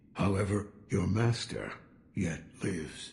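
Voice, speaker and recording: A man's put-on character voice, fairly low in pitch, at a fairly slow pace with ordinary pitch variation. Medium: video game. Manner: terse, gruff, cryptic.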